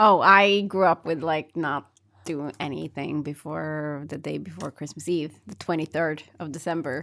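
A woman with a Norwegian accent, very deep and low in pitch, at a fairly slow pace, bright and sharp in tone, fairly even in intonation, with big swings in loudness, on a very clean recording with a silent background. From Norway. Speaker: co-host. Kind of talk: casual chat.

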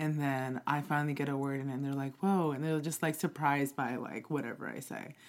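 Set against a silent background in a very clean recording, the speaker uses fairly even intonation and a moderate pace with an American accent. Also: woman. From Queens, New York. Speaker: podcast guest, host's roommate. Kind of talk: casual chat.

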